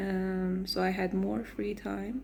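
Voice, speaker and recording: A woman speaks with a non-native accent and fairly even intonation. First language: not English. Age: 20s. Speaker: vlogger. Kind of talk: personal vlog. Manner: hesitant, with fillers and self-corrections.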